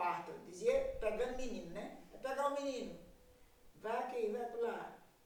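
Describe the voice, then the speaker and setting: Room echo is audible throughout. The delivery is fairly slow. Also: woman. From Brazil, Paraíba coast (Baía da Traição). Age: 80s+. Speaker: traditional midwife. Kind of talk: interview testimony.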